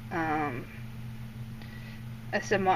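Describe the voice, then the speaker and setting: Noticeable background noise under a woman speaking with an American accent. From Indiana. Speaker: snake keeper. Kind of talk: casual talk over a feeding video. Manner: hesitant, many fillers.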